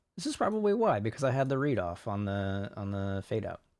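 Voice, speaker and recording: A soft-spoken man talks at a fairly quick pace with a fairly low pitch. The background is quiet. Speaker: home studio musician and producer. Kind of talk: casual livestream tutorial. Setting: bedroom home studio, livestream. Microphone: too quiet.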